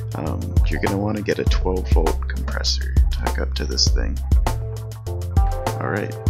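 Over loud music in the background, the speech moves at a moderate pace with long, frequent pauses. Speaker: DIY builder. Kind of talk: DIY tutorial narration. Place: garden. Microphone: phone near.

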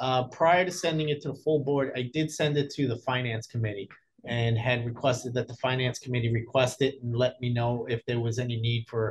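A man speaks with a somewhat breathy voice at a moderate pace. Light background noise sits underneath. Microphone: video call.

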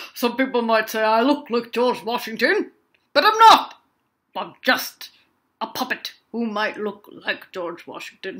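A cartoonish character voice delivers its lines at a moderate pace. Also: woman, fairly high pitch for a woman. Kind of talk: children's puppet show. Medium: puppet show. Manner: playful, matter-of-fact.

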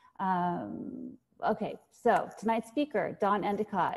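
A woman speaks at a very slow pace in a somewhat breathy voice. Her pitch varies in an ordinary way. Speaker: foundation director hosting the event. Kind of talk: event introduction. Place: home room. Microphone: earbuds.

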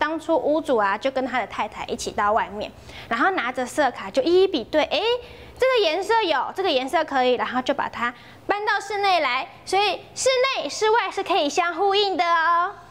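A woman speaks at a moderate pace with an extremely high pitch. Her pitch swings very widely. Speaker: travel show host. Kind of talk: travel show presenting. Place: home room. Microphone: lapel.

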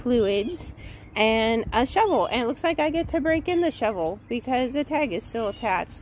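A woman speaks at a high pitch and a fairly slow pace with lively intonation. The sound is dry with no echo, and there is light background noise. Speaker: outdoor hobbyist vlogger. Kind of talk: tutorial. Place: garden.

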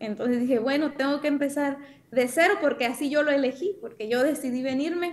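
A woman talks at a fairly quick pace in a high-pitched voice. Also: ordinary pitch variation. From Mexico. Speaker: dentist. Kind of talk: casual conversation. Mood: warm, smiling. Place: home room.

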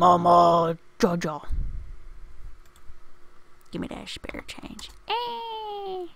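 A woman talks in a put-on character voice. Her pace is very slow. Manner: pleading, jokey.

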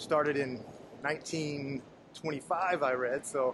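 Noticeable background noise runs beneath speech that moves through ordinary pitch variation. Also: man. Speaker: travel vlogger. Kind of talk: casual vlog chat. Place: station. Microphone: phone near.

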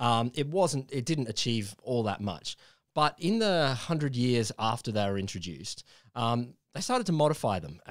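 With lively intonation, the speaker is reading aloud in a natural voice over a quiet background.

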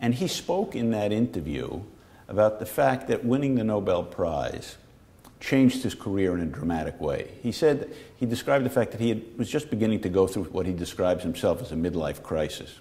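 At a fairly quick pace, a man speaks with lively intonation and a medium pitch. His tone is dark and mellow. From New York, the Bronx. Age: 60s. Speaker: physician-scientist moderating the interview. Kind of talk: conversational interview. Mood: warm, storytelling. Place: studio.

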